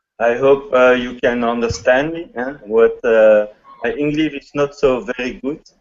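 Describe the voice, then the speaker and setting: At a fairly slow pace, a man with a French accent speaks at a medium pitch with ordinary pitch variation and big swings in loudness. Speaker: hobbyist video maker. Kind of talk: casual chat. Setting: video call. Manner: halting.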